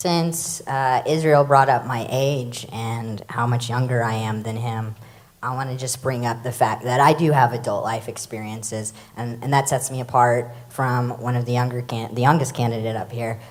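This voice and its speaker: There is audible room echo around a woman with a very deep, low pitch. She talks at a moderate pace with fairly even intonation. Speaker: city council candidate. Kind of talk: candidate forum debate. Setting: church stage with audience.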